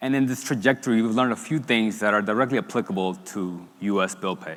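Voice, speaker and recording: A man with a Spanish accent talks at a very fast pace and medium pitch. His pitch variation is ordinary, on a very clean recording with a silent background. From Dominican Republic. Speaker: startup founder and CEO. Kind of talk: product launch pitch on stage.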